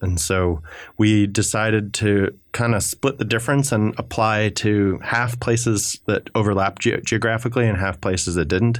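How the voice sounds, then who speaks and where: In a very clean recording with a silent background, a man with a plain, everyday voice speaks at a moderate pace in a fairly low pitch, with ordinary pitch variation, very even loudness and hardly any pauses. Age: 20s. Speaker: radio show guest. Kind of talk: casual chat. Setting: studio.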